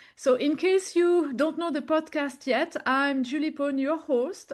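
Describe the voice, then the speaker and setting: Against a quiet background, a woman with a strong French accent speaks at a fairly slow pace in a high pitch. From French-speaking country. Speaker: podcast host. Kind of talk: interview conversation; guided meditation. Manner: slow, calm.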